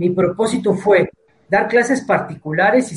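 A man speaks with a Mexican accent at a fairly quick pace. His pitch is high. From Mexico, Tepic (Nayarit). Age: 60s. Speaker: martial arts instructor. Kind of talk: interview. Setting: video call.

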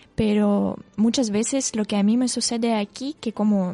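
In a Russian accent, a woman speaks with a somewhat breathy, dark, mellow tone and fairly even intonation, the sound dry and close with no echo. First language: Russian (speaking Spanish). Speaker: Spanish teacher and volunteer. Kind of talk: radio interview. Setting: radio studio.

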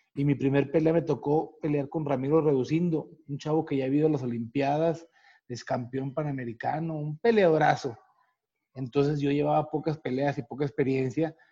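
A man talks at a moderate pace with a fairly high pitch and fairly even intonation. His tone is dark, mellow and somewhat breathy. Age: 40s. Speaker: retired boxer. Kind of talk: casual interview.

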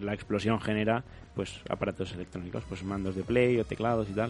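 This man speaks with a Spanish accent at a fairly low pitch. His intonation stays fairly even. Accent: Peninsular Spanish. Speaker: radio host. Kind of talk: casual chat.

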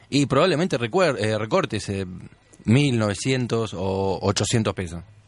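Lively intonation from a man at a medium pitch. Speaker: radio host. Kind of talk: radio show chat.

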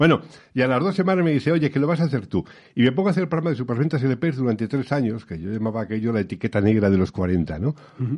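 Very wide pitch swings mark the man's delivery at a very fast pace. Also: medium pitch for a man. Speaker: radio veteran. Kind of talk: interview. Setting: studio.

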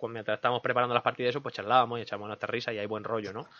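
Someone male speaks at a medium pitch. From Andalusia, Linares (Jaén), Spain. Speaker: gaming podcast host. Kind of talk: casual chat; news reading. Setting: studio.

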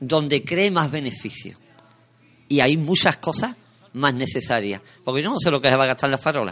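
A man with a fairly high pitch and a bright, sharp tone speaks at a moderate pace with lively intonation, leaving long, frequent pauses. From Sanlúcar de Barrameda, Andalusia, Spain. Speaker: radio host. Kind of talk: casual chat; reading aloud. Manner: halting.

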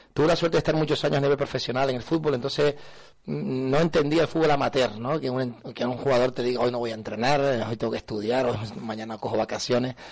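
Talking at a very fast pace, a man has a medium-pitched voice. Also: ordinary pitch variation. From Canary Islands, north Tenerife (Buenavista del Norte). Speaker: football coach, former pro player. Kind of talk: radio interview.

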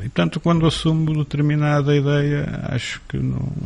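A man is speaking. His voice is somewhat breathy. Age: 50s. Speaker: former local politician. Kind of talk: interview.

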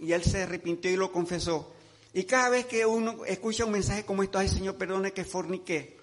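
A man speaks at a moderate pace, high in pitch with fairly even intonation. Noticeable background noise runs underneath. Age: 70s. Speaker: pastor. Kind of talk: sermon.

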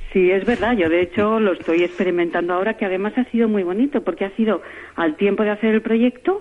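The speech comes at a very fast pace. Its loudness stays very even throughout. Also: woman, medium pitch for a woman, ordinary pitch variation. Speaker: award-winning senior entrepreneur. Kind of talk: radio interview. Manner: halting, many repetitions.

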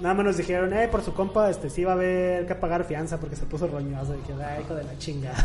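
Over noticeable background noise, a man talks at a very fast pace with hardly any pauses, his high pitch showing ordinary variation. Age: 20s. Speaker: podcast guest. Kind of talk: casual chat.

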